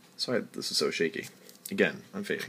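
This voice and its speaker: Vocal fry runs through this man's speech. He keeps a moderate pace. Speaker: chemistry tutor. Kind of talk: tutorial. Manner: halting.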